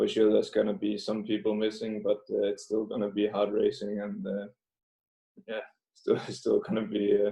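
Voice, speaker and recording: Speaking at a moderate pace, a man talks with a Danish accent. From Denmark. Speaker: professional cyclist. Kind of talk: interview. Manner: halting, many fillers.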